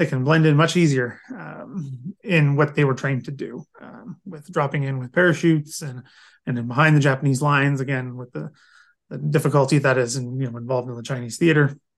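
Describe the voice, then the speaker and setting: An ordinary speaking voice from a man with a Canadian accent, fairly high in pitch, fairly quick, with fairly even intonation, big swings in loudness and a quiet background. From Canada, London, Ontario. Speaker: military historian. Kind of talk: interview.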